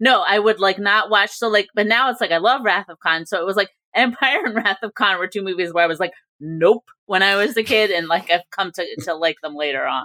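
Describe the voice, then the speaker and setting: This woman has an unremarkable speaking voice with ordinary pitch variation. She talks at a fairly quick pace. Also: medium pitch for a woman. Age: 40s. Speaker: entertainment journalist. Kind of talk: casual chat.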